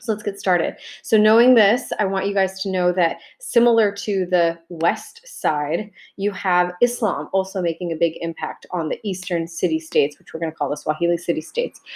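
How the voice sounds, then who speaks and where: A woman with a fairly low pitch speaks at a moderate pace, her pitch varying in an ordinary way. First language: Arabic. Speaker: high school teacher. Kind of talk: recorded video lecture. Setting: self-recorded video. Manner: casual, conversational.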